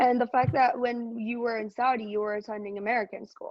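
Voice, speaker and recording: Her delivery is very fast, and this woman keeps a monotone, flat intonation throughout. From Iran. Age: 20s. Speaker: podcast host. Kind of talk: casual interview chat.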